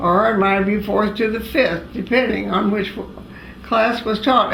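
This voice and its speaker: A woman speaks at a medium pitch in an American accent, at a fairly slow pace. Room echo is audible, and there is noticeable background noise. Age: 80s+. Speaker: elderly woman recalling family history. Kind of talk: oral history interview. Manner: halting, many fillers.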